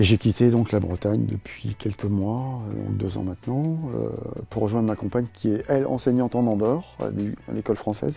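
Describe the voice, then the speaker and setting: Over background music, a man with a fairly low voice talks at a moderate pace with ordinary pitch variation. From Brittany, France. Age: 60s. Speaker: retired scooter traveler. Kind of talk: interview. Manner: hesitant, many fillers.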